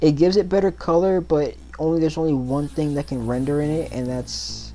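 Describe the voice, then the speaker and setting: A woman speaks with music in the background. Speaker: gaming YouTuber. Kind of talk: tutorial. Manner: casual, halting with fillers; stutters over words.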